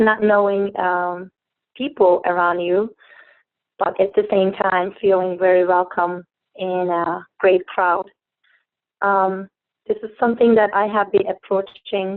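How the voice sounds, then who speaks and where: A woman with a Turkish accent talks at a medium pitch and a very slow pace. Her intonation is flat and monotone, broken by long, frequent pauses. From Turkey. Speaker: network marketing distributor. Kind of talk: testimony. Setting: phone call. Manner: halting.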